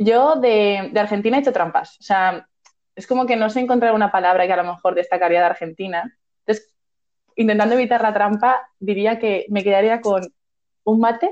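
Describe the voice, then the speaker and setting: A woman with a normal speaking voice, fairly high in pitch, at a moderate pace with ordinary pitch variation. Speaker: podcast co-host. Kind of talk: casual chat.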